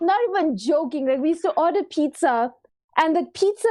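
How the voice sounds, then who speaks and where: A woman with a Durban accent, dark and mellow in tone, with lively intonation at a moderate pace. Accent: Durban South African. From South Africa, Durban. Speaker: content creator and streamer. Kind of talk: casual chat. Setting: live-streamed podcast. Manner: animated.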